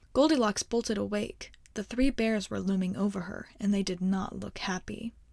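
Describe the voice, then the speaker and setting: The woman's voice is somewhat breathy, with a calm, soothing tone. It sits at a medium pitch with ordinary pitch variation. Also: moderate pace. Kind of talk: ASMR bedtime story reading. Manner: soft, calm, soothing.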